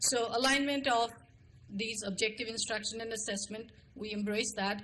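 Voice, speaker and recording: A woman with an Indian accent has a bright, sharp tone and a fairly high pitch. She talks at a moderate pace with fairly even intonation. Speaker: school administrator. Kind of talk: formal presentation to a board.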